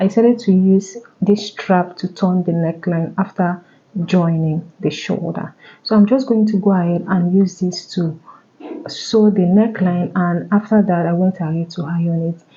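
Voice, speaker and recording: Against noticeable background noise, a soft-spoken woman talks with fairly even intonation. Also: medium pitch for a woman, moderate pace. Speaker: tailor. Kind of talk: tutorial.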